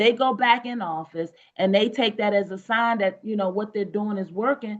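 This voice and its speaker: Here a woman talks in an ordinary speaking voice. Her pitch is medium and her pace moderate. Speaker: mayoral candidate. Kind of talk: podcast interview answer.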